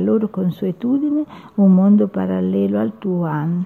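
Noticeable background noise sits behind a woman at medium pitch. Her pitch swings very widely. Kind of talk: poetry reading, spoken-word style with solemn, lyrical delivery. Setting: radio studio. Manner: slow, measured, reflective and emotive, with pauses.

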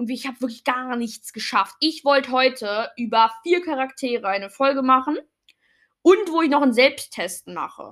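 A woman's high-pitched voice at a fairly slow pace. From Germany (born in Poland, moved at age one). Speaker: fan podcast host. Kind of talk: casual solo podcast monologue. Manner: hesitant, many fillers and self-corrections.

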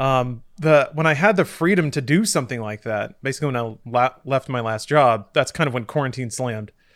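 On a very clean recording with a silent background, a man with an ordinary speaking voice talks at a fairly quick pace with hardly any pauses, a medium pitch and lively intonation. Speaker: podcast host. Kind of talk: casual chat.

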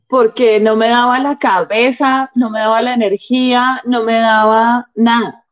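Speaking very slowly with hardly any pauses, a woman with a Bogotá accent keeps a fairly high pitch in monotone, flat intonation. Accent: Bogotá Colombian Spanish. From Colombia, Bogotá. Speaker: stand-up comedian. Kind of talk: casual chat. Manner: soft-spoken.

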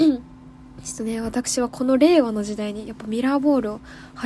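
A woman speaks with an animated tone. Noticeable background noise is present. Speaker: radio host. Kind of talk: casual solo radio talk. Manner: animated, fast talker.

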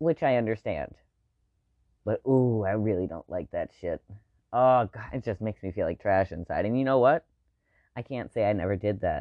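Pausing long and often, a man talks at a moderate pace in a medium pitch with ordinary pitch variation. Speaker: solo podcaster. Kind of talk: personal monologue. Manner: hesitant, many fillers.

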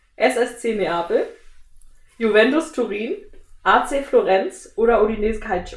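A woman with a fairly high, lively voice speaks very slowly, leaving long, frequent pauses. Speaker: podcast host. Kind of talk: casual chat; quiz. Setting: studio.

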